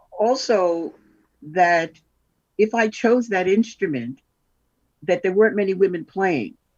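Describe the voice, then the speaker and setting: Using lively intonation and long, frequent pauses, a woman with a New York accent talks fairly slowly at a medium pitch. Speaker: double bass player. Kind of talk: interview.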